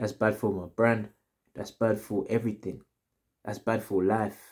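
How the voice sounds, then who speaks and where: Speaking at a fairly slow pace with a London accent, the voice carries an animated tone. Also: man, fairly low pitch for a man. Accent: London multicultural English. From South America. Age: 20s. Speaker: storytime vlogger. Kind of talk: casual storytime monologue. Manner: animated, repetitive slang-heavy.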